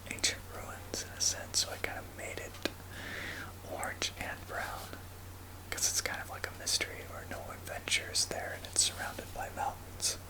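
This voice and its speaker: Someone whispers over noticeable background noise. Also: moderate pace. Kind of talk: casual talk to camera, showing a map. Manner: soft-spoken, whispered.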